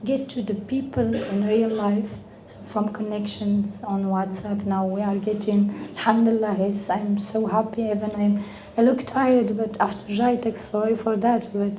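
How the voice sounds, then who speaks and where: With monotone, flat intonation, a woman at a medium pitch talks amid noticeable background noise and audible room echo. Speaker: event speaker. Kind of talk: speech. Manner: halting.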